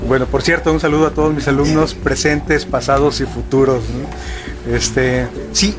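A man speaks over noticeable background noise. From Mexico City. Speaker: programming instructor and cybersecurity specialist. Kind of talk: casual interview. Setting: at dinner table in Monterrey.

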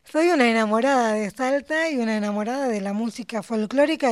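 A woman speaks at a fairly quick pace with a fairly high pitch and ordinary pitch variation. She has an ordinary speaking voice. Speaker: poet. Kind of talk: interview.

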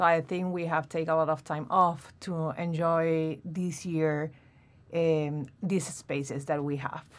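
In a Venezuelan accent, a woman speaks at a very slow pace with a very deep, low pitch. Her intonation is monotone and flat in a very clean recording with a silent background. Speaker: MBA student, expecting mother. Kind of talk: casual interview chat.

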